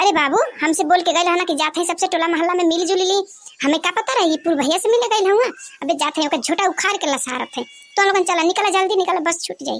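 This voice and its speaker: A woman in a squeaky put-on character voice speaks very fast at an extremely high pitch. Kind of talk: comic village cartoon dub. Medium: cartoon. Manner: melodramatic, swings from weepy to furious.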